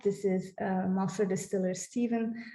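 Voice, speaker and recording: Against a quiet background, a woman speaks at a fairly slow pace in a somewhat breathy voice with a dark, mellow tone. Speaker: heritage project staff presenting website; presenter. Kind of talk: conference presentation with screen demo. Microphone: webcam.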